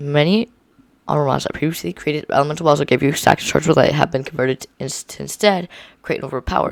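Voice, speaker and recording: A man talks very fast at a fairly high pitch with vocal fry, ordinary pitch variation and a dry, close sound with no echo. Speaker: gaming video creator. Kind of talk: reading aloud. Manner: halting.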